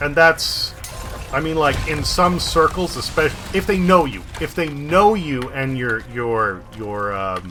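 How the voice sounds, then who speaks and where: A man with an American accent speaks at a fairly slow pace and fairly high pitch. His pitch swings very widely over noticeable background noise. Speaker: video game streamer. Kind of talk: casual chat. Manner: animated.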